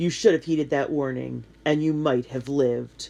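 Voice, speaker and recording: A man puts on a growling character voice at a fairly high pitch and a moderate pace. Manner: menacing, threatening.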